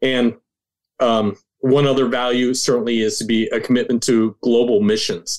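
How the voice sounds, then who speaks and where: A man's medium-pitched voice, an ordinary speaking voice, with fairly even intonation, very even loudness and a moderate pace. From rural Nova Scotia, Canada. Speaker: ministry leader, guest. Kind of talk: interview, conversational.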